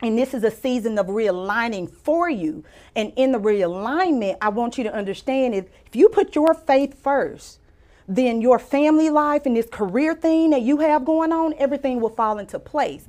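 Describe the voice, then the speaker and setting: A woman with a Louisiana accent speaks at a high pitch, her voice swinging very widely, against a quiet background. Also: moderate pace. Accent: US Southern (Louisiana). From Louisiana (Mansfield, rural). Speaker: physician and author. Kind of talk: casual interview with personal testimony.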